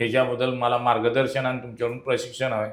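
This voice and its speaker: A man's voice comes with audible room echo. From Maharashtra, Sangli district. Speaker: traditional tutari player and folk art trainer. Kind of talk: interview.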